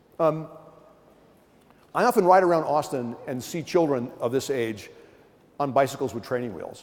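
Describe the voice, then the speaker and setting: A man with an American accent, moderate pace and lively intonation. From US East Coast. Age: 60s. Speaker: professor. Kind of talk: keynote lecture. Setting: conference stage with audience. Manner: animated.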